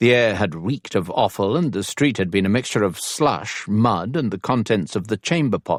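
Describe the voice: Lively intonation in plain reading aloud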